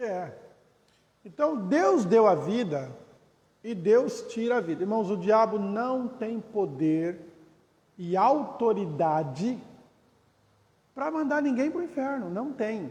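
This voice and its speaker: Speaking very slowly with long, frequent pauses, a man with a high pitch swings very widely in pitch amid audible room echo. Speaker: pastor. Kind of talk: Bible study lecture.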